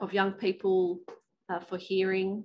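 A woman with a fairly low pitch and a slightly mellow tone speaks at a fairly slow pace.

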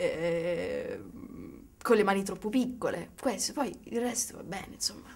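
The voice belongs to a woman. It shows ordinary pitch variation. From Sicily, Catania; Sicily. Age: 20s. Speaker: writer; interviewee. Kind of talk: interview. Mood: relaxed, reflective, playful. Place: studio.

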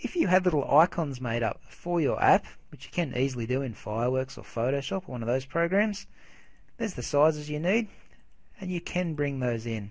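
Fairly quick, lively speech from a man with an Australian accent and fairly high pitch. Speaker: software tutorial maker. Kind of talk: tutorial. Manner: casual.

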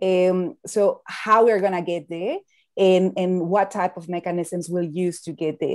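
A woman's voice with a Spanish accent and fairly even intonation, over a quiet background. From Mexico. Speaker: climate finance expert; panel expert. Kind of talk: panel discussion. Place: home room. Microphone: earbuds.

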